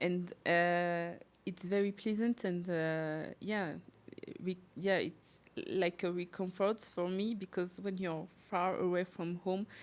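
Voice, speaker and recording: Someone with a French accent speaks at a very slow pace in a monotone, flat intonation. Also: woman, medium pitch for a woman. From France. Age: 30s. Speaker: podcast guest, mother. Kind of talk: casual interview. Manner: halting, many hesitations.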